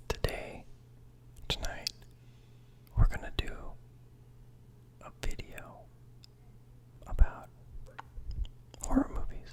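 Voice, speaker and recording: Over noticeable background noise, a man whispers at a fairly slow pace with big swings in loudness and long, frequent pauses. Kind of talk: ASMR whisper ramble about favorite horror movies. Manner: whispered, soft-spoken, casual, rambling.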